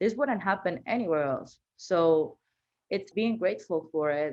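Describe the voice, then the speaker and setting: A woman with a Venezuelan accent, lively intonation and a moderate pace. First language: Spanish. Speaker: marketing manager. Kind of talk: podcast interview, personal story.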